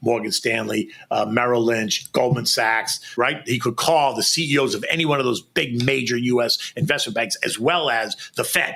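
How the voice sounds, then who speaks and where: Hardly pausing, a man with an American accent speaks at a moderate pace and medium pitch, with ordinary pitch variation. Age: 60s. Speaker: former stock exchange floor trader. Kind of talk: interview. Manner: animated.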